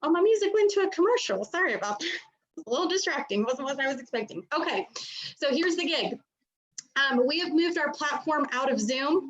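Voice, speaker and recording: A loud, high-pitched woman's voice at a very fast pace, with very wide pitch swings. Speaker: mortgage trainer. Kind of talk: live stream presentation. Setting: video call. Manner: animated.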